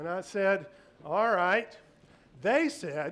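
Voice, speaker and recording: A man's animated voice at a moderate pace, with very wide swings in pitch. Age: 60s. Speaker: public speaker. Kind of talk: storytelling presentation.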